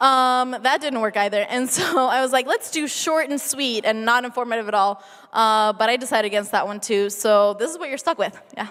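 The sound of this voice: An American accent at a moderate pace, with few pauses, ordinary pitch variation and a fairly bright tone. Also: woman, fairly high pitch for a woman.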